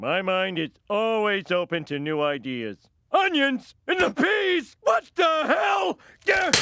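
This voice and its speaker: A cartoonish character voice shouts at a fairly high pitch. The pace is fairly slow. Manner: goofy, rambling.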